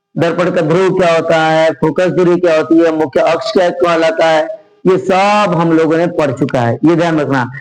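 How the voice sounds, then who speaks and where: The man's voice is high for a man and very even in loudness, coming at a fairly slow pace with hardly any pauses amid audible room echo. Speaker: teacher. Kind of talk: lecture.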